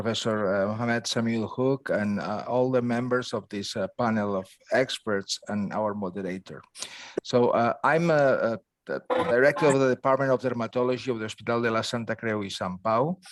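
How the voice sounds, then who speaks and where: A man with a Catalan accent talks at a fairly quick pace with ordinary pitch variation, the sound dry and close with no echo. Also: medium pitch for a man. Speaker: dermatology professor. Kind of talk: lecture. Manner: halting, many fillers.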